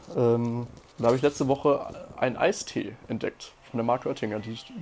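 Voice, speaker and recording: In a dark, mellow tone, the man keeps to a moderate pace. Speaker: podcast co-host. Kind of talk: casual chat.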